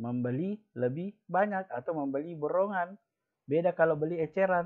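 A man with a fairly high pitch speaks at a fairly slow pace with lively intonation over a quiet background. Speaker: school teacher. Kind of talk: online class lesson. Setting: video call. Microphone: video call.

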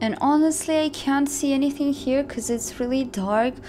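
A woman talks with ordinary pitch variation. Light background noise can be heard. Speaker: vlogger. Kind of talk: casual vlog chat. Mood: scared, tense. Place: forest. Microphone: phone near.

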